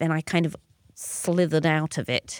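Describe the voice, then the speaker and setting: With a London accent, a woman speaks at a fairly quick pace in a very deep, low pitch and fairly even intonation, recorded very cleanly with a silent background and a dry, close sound with no echo. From North London. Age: 40s. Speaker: performance artist and lecturer. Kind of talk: interview conversation. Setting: pop-up studio.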